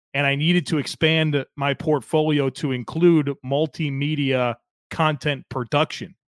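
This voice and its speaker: The delivery is fairly slow, with monotone, flat intonation. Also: man, fairly high pitch for a man. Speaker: sports podcaster. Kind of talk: casual interview chat. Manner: very consistent, polished.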